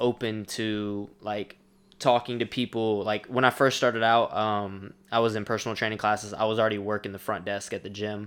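A man with an ordinary speaking voice talks at medium pitch and a moderate pace in a very clean recording with a silent background. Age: 20s. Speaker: personal trainer and company CEO. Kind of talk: casual chat.

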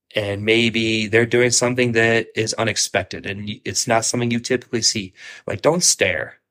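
Medium pitch, fairly level intonation and an American accent in a man's ordinary speaking voice. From Ohio, US Midwest. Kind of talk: casual chat.

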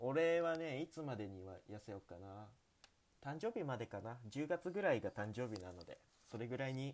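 This man speaks at a moderate pace in a medium pitch. His pitch swings very widely. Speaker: student radio host. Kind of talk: casual chat. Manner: animated.

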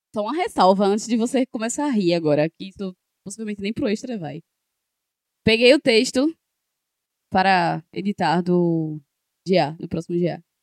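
At a moderate pace with long, frequent pauses, a woman speaks at a medium pitch with lively intonation in a dry, close sound with no echo. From Pernambuco, Brazil (Janga, Recife area). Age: 30s. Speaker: podcast co-host. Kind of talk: casual chat.

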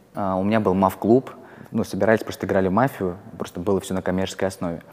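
With a fairly low pitch, a man talks in fairly even intonation. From Russia, Kursk. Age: 20s. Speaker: investor. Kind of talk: interview. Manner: hesitant with fillers.

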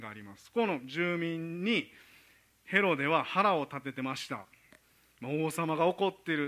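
A man speaks in a Kansai accent at a fairly slow pace, his tone bright and sharp. His intonation is lively, and his loudness swings widely. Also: fairly high pitch for a man. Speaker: preacher. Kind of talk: sermon.

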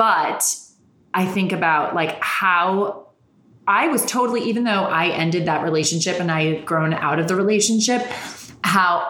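Noticeable background noise sits behind a woman with a fairly low pitch. She speaks at a moderate pace with ordinary pitch variation. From Ireland, then New York. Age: 30s. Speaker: podcast host and heartbreak coach. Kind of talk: casual chat interview. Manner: animated, talkative.

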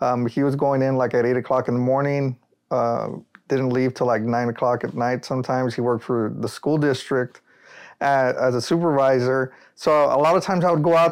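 In an American accent, a plain, everyday voice speaks at a fairly quick pace with ordinary pitch variation against a quiet background. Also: man, very even loudness. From Rio Grande Valley, South Texas. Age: 30s. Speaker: solar energy entrepreneur. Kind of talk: casual interview.

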